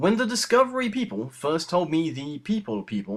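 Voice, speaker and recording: Here a man speaks in a high pitch. His voice makes very wide pitch swings. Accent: English. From England. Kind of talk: comic letter reading.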